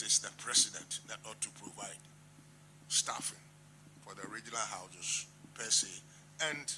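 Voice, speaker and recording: Over noticeable background noise, a man talks at a moderate pace with big swings in loudness. He leaves long, frequent pauses. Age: 80s+. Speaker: traditional chief. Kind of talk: formal address. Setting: meeting at president's office.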